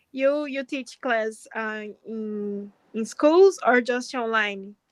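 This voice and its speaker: A woman speaks at a very slow pace with a strong Brazilian accent and a fairly high pitch. Her loudness swings a lot. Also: ordinary pitch variation. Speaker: pharmacist practising English. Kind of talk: casual chat. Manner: halting.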